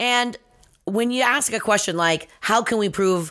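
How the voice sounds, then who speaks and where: This woman has a normal speaking voice and lively intonation. She talks at a moderate pace on a very clean recording with a silent background. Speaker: nonprofit leader and co-host. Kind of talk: casual podcast conversation.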